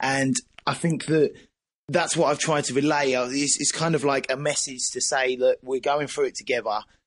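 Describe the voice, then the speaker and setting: Here a man speaks with an Essex accent at a moderate pace. His pitch is fairly high and his intonation fairly even. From Essex, East England. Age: 20s. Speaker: band vocalist. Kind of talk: casual interview. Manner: halting.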